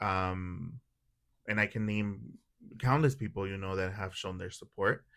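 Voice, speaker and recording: A man with a Spanish accent speaks at a fairly low pitch in a very clean recording with a silent background. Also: ordinary pitch variation, fairly slow pace. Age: 30s. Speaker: podcast guest, doll collector. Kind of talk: casual chat.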